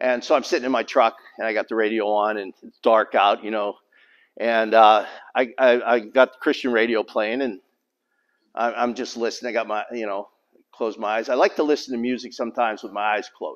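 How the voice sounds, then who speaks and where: A man's fairly even intonation over a quiet background. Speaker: preacher. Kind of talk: sermon. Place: hall. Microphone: handheld.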